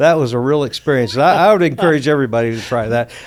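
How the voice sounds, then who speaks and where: The recording is very clean, with a silent background. A man with a Louisiana accent speaks at a medium pitch with ordinary pitch variation. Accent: US Southern, Louisiana. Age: 60s. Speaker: outdoors organization executive. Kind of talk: casual chat.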